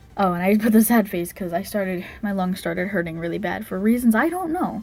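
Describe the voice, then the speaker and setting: Over music in the background, a woman of medium pitch speaks at a fairly quick pace with ordinary pitch variation. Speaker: digital artist YouTuber. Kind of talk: casual voice-over commentary on speedpaint. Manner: halting, many fillers and restarts.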